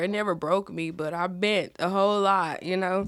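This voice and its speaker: A woman talks at a moderate pace in a medium pitch. It is a plain, everyday voice. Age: 20s. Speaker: ministry volunteer sharing her life story. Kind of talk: testimony. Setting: studio.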